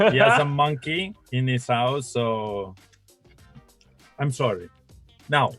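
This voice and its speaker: Over music in the background, a speaker in an Italian accent goes very slowly with long, frequent pauses, a playful tone and lively intonation. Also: man, medium pitch for a man. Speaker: video show co-host. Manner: playful, joking.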